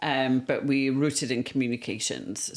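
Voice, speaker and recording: With a South Wales Valleys accent, a woman speaks at a moderate pace and a very deep, low pitch on a very clean recording with a silent background. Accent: South Wales Valleys Welsh English. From Wales, the Welsh Valleys. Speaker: communications agency founder. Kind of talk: podcast interview. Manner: hesitant, many fillers.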